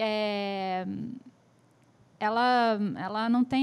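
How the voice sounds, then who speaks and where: Spanish-accented speech comes from a woman. The audio is spotless, and nothing can be heard behind her. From Brazil. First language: Spanish (speaking Portuguese). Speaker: writer. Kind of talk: talk on own work. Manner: halting.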